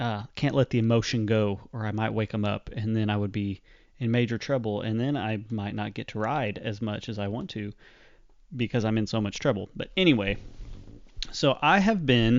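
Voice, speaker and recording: A man talks with medium pitch and ordinary pitch variation, keeping a moderate pace. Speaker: podcast host. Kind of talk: casual interview. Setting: bedroom next to sleeping babies. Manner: mellow and subdued.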